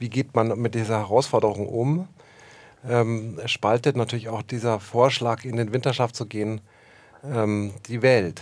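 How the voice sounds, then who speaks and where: A man at a medium pitch and a fairly slow pace, on a very clean recording with a silent background. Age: 50s. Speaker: film and theatre director. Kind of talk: interview. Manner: hesitant, many fillers.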